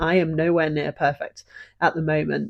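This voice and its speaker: A woman with a British accent and a fairly low pitch speaks at a fairly slow pace. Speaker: podcast host. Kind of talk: personal story, podcast monologue.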